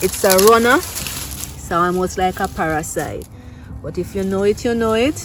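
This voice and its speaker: A woman speaks with a Jamaican accent. Noticeable background noise is present. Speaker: gardening vlogger. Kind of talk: casual vlog tutorial. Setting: outdoors in garden. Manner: animated.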